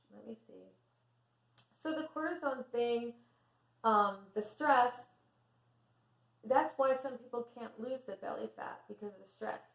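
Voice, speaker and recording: A woman with a high voice speaks at a fairly slow pace, pausing long and often, her loudness swinging widely while her pitch varies an ordinary amount. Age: 50s. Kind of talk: casual talk to camera. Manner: soft-spoken.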